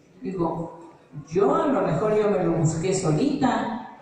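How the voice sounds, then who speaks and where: Very wide pitch swings mark this woman's speech. Noticeable background noise and audible room echo surround her. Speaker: Al-Anon member, teacher. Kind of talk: testimony.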